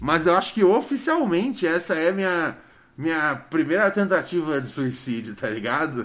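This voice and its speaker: A high-pitched man talks at a moderate speed. His voice rises and falls in very wide swings. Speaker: podcast host. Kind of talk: casual chat. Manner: animated.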